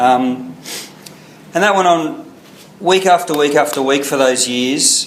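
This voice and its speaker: With an Australian accent, a man talks in a fairly high pitch with lively intonation, amid noticeable background noise and audible room echo. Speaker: recovering alcoholic speaker. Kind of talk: testimony. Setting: meeting with audience.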